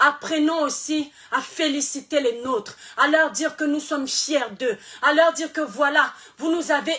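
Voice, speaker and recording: A shouting woman, high in pitch and animated in tone, with ordinary pitch variation at a fairly slow pace, over noticeable background noise. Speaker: social media influencer. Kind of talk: live stream monologue. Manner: soft-spoken usually; animated, shouting.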